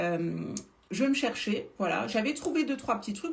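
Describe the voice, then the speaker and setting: A woman speaks at a fairly quick pace with a fairly high pitch and an animated tone. Noticeable background noise sits behind her. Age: 40s. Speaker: beauty influencer selling supplements. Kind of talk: live stream product talk. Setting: live stream. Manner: hesitant, many filler sounds.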